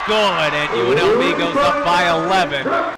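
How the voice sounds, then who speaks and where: Background noise is clearly present while a man's pitch leaps very widely up and down. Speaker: basketball play-by-play announcer; women's college basketball announcer. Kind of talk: live sports play-by-play commentary.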